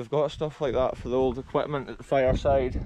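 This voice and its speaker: Noticeable background noise sits behind a dry sound with no echo. A man talks at a fairly quick pace. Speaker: explorer vlogger. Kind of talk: casual vlog chat. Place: open country. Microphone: phone near.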